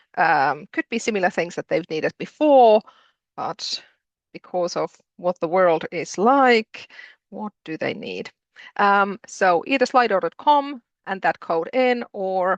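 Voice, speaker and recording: A woman with a strong Finnish accent talks at a fairly slow pace in a medium pitch with lively intonation, the sound dry and close with no echo over a quiet background. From Finland. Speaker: postgraduate programme director. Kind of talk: interactive webinar. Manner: hesitant, many fillers.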